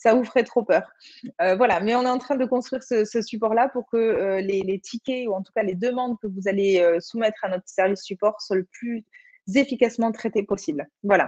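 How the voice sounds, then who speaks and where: Recorded dry and close with no echo, a woman speaks at a moderate pace with a fairly high pitch. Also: ordinary pitch variation. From Occitanie, southern France. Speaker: online platform community manager presenter. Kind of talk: webinar presentation with screen demo. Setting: video conference webinar. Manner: hesitant, many fillers.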